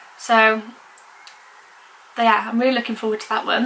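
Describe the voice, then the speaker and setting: A woman speaks in a fairly high pitch. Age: 20s. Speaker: vlogger. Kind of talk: casual vlog talk. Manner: halting.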